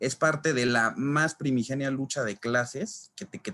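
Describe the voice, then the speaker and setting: The clip has an ordinary speaking voice at a fairly slow pace. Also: man. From Mexico City. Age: 20s. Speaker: labor lawyer and law lecturer. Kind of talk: online lecture. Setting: live online class with chat. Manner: casual with frequent fillers.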